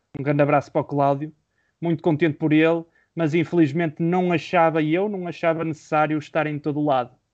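Against a quiet background, a man talks at a fairly high pitch and a fairly quick pace in a monotone, flat intonation. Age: 20s. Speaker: podcast co-host, journalism student. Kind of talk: casual chat.

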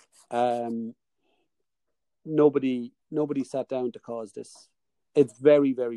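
A man speaks slowly in a monotone, flat delivery with a dark, mellow tone and big swings in loudness. Long, frequent pauses break up his speech, and the sound is dry and close with no echo. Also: medium pitch for a man. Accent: Irish. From Ireland. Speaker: podcast host. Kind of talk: interview on podcast. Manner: hesitant, sensitive tone, many fillers.

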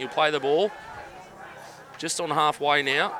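A man speaks fairly quickly in an upbeat tone at a fairly high pitch. Noticeable background noise runs underneath. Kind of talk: live sports commentary. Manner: fast play-by-play calling, upbeat, chatty with filler.

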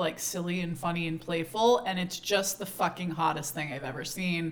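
A woman's voice comes through with noticeable background noise behind it. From Texas. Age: 30s. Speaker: podcast host. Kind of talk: casual chat.

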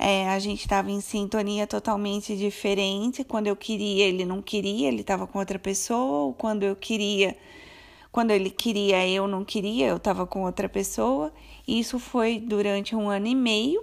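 A woman with a normal speaking voice, medium pitch, moderate pace, and ordinary pitch variation on a very clean recording with a silent background. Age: 30s. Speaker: podcaster. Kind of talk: personal storytelling monologue. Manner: casual, chatty.

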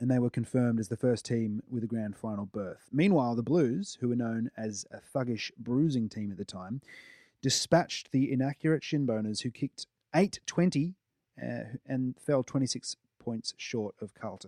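A man with an Australian accent speaks at medium pitch in a dark, mellow tone. The sound is dry and close with no echo, over a quiet background. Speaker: sports podcast co-host. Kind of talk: scripted narration; casual chat. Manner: halting.

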